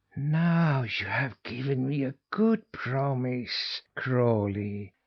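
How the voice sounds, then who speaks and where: This is a put-on character voice with a hissing sound. It goes along at a very slow pace. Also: man, medium pitch for a man. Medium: read story.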